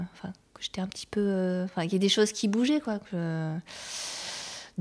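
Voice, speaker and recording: A woman's dark, mellow tone sits at medium pitch with ordinary pitch variation. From Bordeaux, France. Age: 40s. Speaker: performing arts worker. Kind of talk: casual chat.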